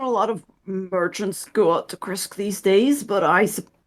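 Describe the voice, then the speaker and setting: Doing a put-on character voice, a raspy woman speaks at a moderate pace and medium pitch with big swings in loudness. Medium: actual play. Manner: hesitant, rambling.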